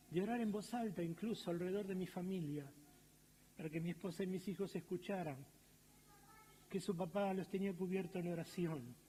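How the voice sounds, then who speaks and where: A man with a Rioplatense accent, high-pitched for a man, dark and mellow in tone, fairly even intonation and long, frequent pauses. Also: moderate pace. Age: 60s. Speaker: pastor. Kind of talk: sermon. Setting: church auditorium, livestreamed.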